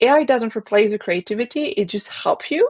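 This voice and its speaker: Dry and close with no echo, a woman's voice carries a French accent, moving at a moderate pace with ordinary pitch variation. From France. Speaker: marketing agency founder and designer. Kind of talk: interview.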